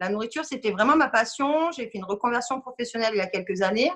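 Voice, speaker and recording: This is a woman with a normal speaking voice and a fairly high pitch. She talks at a fairly quick pace with ordinary pitch variation. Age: 30s. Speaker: parent of a diabetic child. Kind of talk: testimony.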